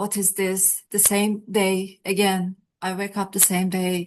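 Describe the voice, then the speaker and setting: A woman speaks with a Turkish accent. Her pace is very slow. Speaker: podcast host. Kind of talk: interview conversation. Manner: halting.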